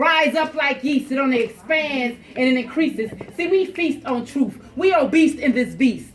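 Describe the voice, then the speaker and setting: A high-pitched woman at a moderate pace over noticeable background noise. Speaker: spoken word poet. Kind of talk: spoken word poetry performance.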